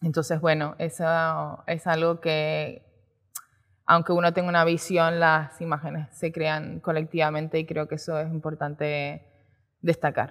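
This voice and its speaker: Against a quiet background, a woman with a very deep, low pitch speaks at a fairly slow pace in a monotone, flat intonation. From Canary Islands. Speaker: photographer and art director; speaker. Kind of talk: talk at a design event. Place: stage. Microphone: headset.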